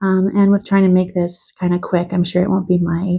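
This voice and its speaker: Somewhat breathy, a woman speaks at medium pitch with monotone, flat intonation. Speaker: beauty vlogger. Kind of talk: product review.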